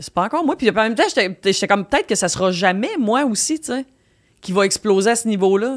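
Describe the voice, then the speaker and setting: A woman with a normal speaking voice, fairly high in pitch and fairly quick, with lively intonation and big swings in loudness, on a very clean recording with a silent background. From Quebec, Victoriaville. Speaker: comedian. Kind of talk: casual chat. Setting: studio.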